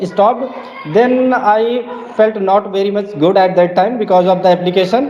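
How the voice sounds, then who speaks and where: A man's high-pitched voice at a moderate pace, with noticeable background noise. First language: non-native English speaker. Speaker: English conversation host. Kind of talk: casual conversation interview.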